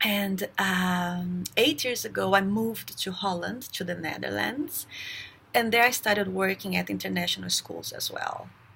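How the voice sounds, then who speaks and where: Speaking at a moderate pace, a woman talks with a Brazilian accent. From Brazil, raised in São Paulo. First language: Portuguese. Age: 30s. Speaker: teacher. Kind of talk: self-introduction for job application. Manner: halting, many fillers.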